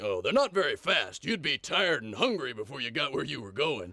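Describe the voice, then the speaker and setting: A man puts on a cartoonish character voice at a fairly high pitch. He talks at a fairly quick pace. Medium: puppet show.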